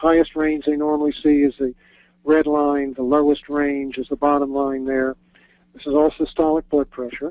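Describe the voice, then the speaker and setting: The delivery is monotone and flat in intonation, with big swings in loudness. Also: man, fairly high pitch for a man, moderate pace. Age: 70s. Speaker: biochemist and retired professor. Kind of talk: webinar presentation. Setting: online webinar.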